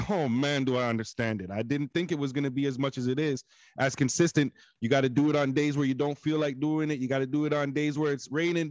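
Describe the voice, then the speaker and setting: Dry with no echo over a quiet background, a man speaks at a very fast pace. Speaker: podcast co-host. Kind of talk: casual podcast talk. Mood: motivational, reflective. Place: home room. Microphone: studio mic.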